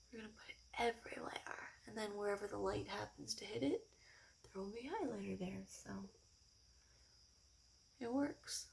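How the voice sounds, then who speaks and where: Against noticeable background noise, a soft-spoken woman talks at a moderate pace. She leaves long, frequent pauses. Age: 20s. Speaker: ASMR YouTuber. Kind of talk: casual talk to camera.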